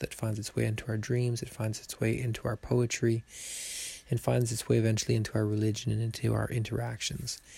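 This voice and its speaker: A man is speaking. His voice is quiet. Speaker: podcaster reviewing a public thinker's views. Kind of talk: solo monologue commentary. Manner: quiet, mellow tones.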